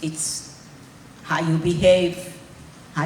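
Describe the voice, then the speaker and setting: Noticeable background noise and audible room echo surround a woman talking in a flat monotone. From Hungary, raised in Israel. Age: 80s+. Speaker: Holocaust survivor speaker. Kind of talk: testimony. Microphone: held too far from mouth.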